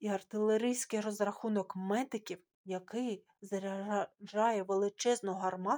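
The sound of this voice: Against a quiet background, an unforced reading voice keeps fairly even intonation.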